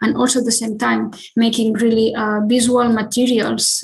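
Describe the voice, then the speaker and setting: A somewhat breathy woman with a fairly high pitch speaks amid audible room echo. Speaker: architect. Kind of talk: lecture. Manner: halting, many filler sounds.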